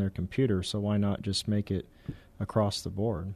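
An American-accented man speaks in a dark, mellow tone with fairly even intonation. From Texas, San Antonio area. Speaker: cybersecurity business owner. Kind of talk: radio interview.

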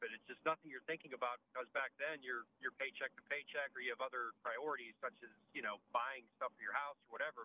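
It's a plain, everyday voice, delivered at a fairly quick pace with fairly even intonation. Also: man. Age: 50s. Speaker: caller. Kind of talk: call-in question. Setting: phone call.

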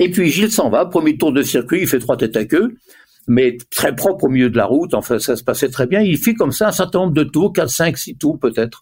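Speaking at a fairly quick pace, a man uses a fairly high pitch with very wide pitch swings. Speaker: former motorsport tyre manager. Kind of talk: interview. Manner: halting.

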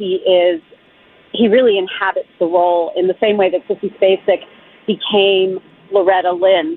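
Lively intonation marks a woman's medium-pitched voice at a fairly slow pace. Background noise is noticeable. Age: 60s. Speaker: columnist and immigration attorney. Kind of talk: radio interview. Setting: phone call from the street. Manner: animated.

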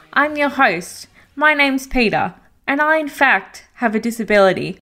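A woman speaks with an Australian accent in a bright, sharp tone. Her pace is moderate and her pitch variation ordinary. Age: 30s. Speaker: podcast host. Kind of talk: scripted podcast introduction.

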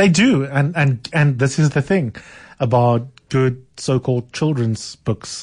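Over a quiet background, a man speaks at a medium pitch and a fairly slow pace, somewhat breathy, with ordinary pitch variation and very even loudness. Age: 40s. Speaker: radio talk show host. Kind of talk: radio talk show discussion. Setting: studio. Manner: warm, enthusiastic.

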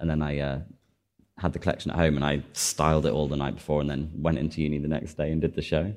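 Very fast and monotone, a man speaks in a Cheshire accent with flat intonation. His very deep, low pitch carries vocal fry. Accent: northern English (Cheshire). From northern England, Chester. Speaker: fashion designer. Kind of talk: interview on stage. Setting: stage with small live audience.

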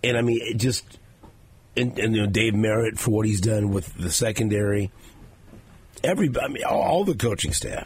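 A man with a medium pitch talks at a fairly quick pace. He takes long, frequent pauses against noticeable background noise. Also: ordinary pitch variation. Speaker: radio host. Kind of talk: sports talk radio show. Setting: studio.

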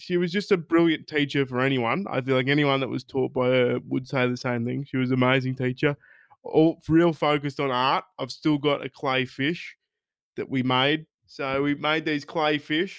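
A man with an Australian accent talks at a moderate pace, his fairly high pitch paired with fairly even intonation. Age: 20s. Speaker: podcast host and stand-up comedian. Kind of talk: casual chat.

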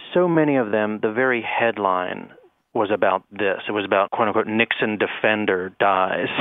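This man has an unremarkable speaking voice at a fairly low pitch, with ordinary pitch variation. His loudness stays very even at a moderate pace. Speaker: professor. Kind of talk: interview.

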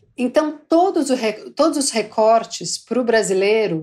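A plain, everyday voice from a woman, fairly high-pitched, at a moderate pace, in a very clean recording with a silent background. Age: 40s. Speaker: market insights manager. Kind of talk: casual chat.

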